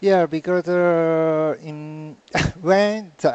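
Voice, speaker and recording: A man with a Japanese accent speaks at a fairly high pitch with fairly even intonation. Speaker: artist. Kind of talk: interview answer.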